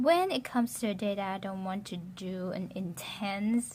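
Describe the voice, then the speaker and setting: A somewhat breathy woman's voice with a dark, mellow tone and ordinary pitch variation. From Vietnam. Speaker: beauty vlogger. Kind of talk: casual talk to camera.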